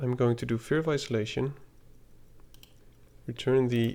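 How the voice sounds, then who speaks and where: Here is a man with a dark, mellow tone and fairly even intonation. He leaves long, frequent pauses. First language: not English (English is third language). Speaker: gaming content creator. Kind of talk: gameplay commentary. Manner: casual, hesitant with fillers.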